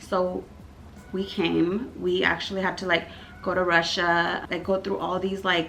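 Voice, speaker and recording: A woman with a Californian accent speaks in a monotone, flat intonation. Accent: American English, California. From Armenia, emigrated to US at age 8. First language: Armenian. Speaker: YouTuber. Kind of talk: storytime vlog. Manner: casual, filler-heavy.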